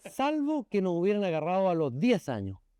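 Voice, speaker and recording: A man's high-pitched voice with a dark, mellow tone and very wide pitch swings, in a dry, close sound with no echo. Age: 60s. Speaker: lawyer and former education minister. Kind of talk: interview conversation.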